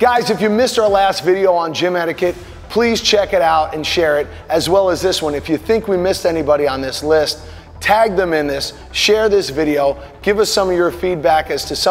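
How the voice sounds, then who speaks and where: A high-pitched man's voice over faint background music. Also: ordinary pitch variation, fairly quick pace. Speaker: gym trainer host. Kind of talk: comedic rant to camera. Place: gym. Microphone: lapel.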